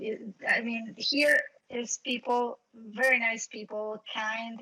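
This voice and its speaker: A woman talks with a Mexican accent. Her pitch is high and the sound is dry and close with no echo. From Mexico. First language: Spanish. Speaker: event coordinator, team project member. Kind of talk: online panel discussion. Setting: voice chat stage on Discord. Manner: halting, searching for words.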